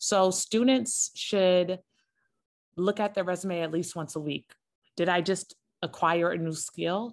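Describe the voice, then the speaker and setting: A woman with an American accent speaks in a normal speaking voice, fairly low in pitch, at a moderate pace. Her pitch varies in an ordinary way, and the background is quiet. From US West Coast, Los Angeles. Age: 30s. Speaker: PR consultant and professor. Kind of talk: interview.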